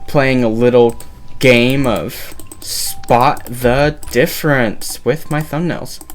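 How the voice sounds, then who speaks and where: The speech is very slow. Music can be heard behind it. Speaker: gaming YouTuber. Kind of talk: gameplay commentary.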